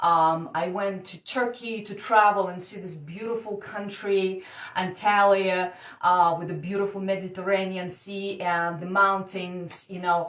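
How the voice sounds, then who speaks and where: A woman's medium-pitched voice, flat and monotone in intonation, fairly slow, with big swings in loudness. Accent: Russian. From Siberia, Russia. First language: Russian. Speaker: dating coach. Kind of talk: personal story told to camera. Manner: hesitant, casual.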